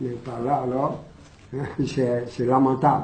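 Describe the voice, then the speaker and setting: Medium in pitch, a man speaks at a fairly slow pace. Audible room echo and noticeable background noise are present. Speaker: colonial war veteran. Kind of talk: testimony. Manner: loud.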